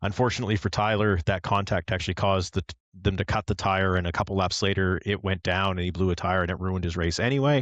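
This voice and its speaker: At a very fast pace and with hardly any pauses, a man with a very deep, low pitch and a slight Canadian accent speaks against a quiet background. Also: dry, close sound with no echo. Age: older. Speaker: motorsport podcast co-host, sim racing league member. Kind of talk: casual chat. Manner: animated, conversational.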